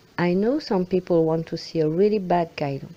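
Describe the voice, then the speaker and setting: A woman with a French accent speaks in a fairly low pitch with a dark, mellow tone. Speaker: film fan commentator. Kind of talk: film analysis commentary.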